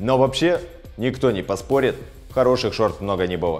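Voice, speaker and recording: A man speaks. Faint music plays in the background. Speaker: channel host. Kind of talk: sponsored ad read to camera. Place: home room.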